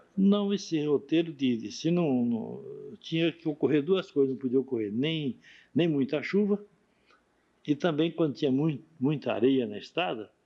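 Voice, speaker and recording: A man with a plain, everyday voice speaks at a fairly slow pace, his fairly high pitch carried by lively intonation. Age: 60s. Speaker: pioneer shopkeeper interviewee. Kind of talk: oral history interview.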